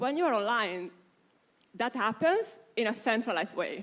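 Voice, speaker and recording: A woman speaks at a moderate pace with an Italian accent. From Italy. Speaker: panelist on privacy. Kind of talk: panel discussion.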